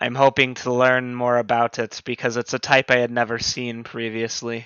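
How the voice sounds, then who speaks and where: Using a put-on character voice, a man speaks at medium pitch and a moderate pace in a monotone, flat intonation. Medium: actual play. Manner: measured, scholarly.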